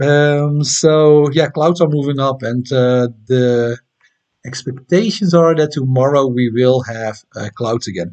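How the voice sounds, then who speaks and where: A man speaks in a Dutch accent at a fairly slow pace. The background is quiet. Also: medium pitch for a man, ordinary pitch variation. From Netherlands. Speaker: amateur astronomy YouTuber. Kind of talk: live stream chat and tutorial. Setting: home live stream at night. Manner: casual, hesitant with many fillers. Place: home room. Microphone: webcam.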